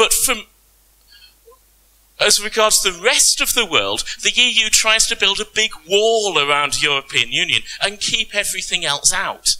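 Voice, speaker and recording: A man with a British accent and a high pitch, lively intonation, very even loudness and a fairly slow pace, over noticeable background noise. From Britain. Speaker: panelist, tax law lecturer. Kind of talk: conference panel talk.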